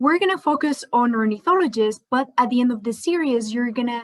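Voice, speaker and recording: With a Spanish accent, a woman speaks in a high voice with lively intonation. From Spain. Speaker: scientist. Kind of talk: educational presentation.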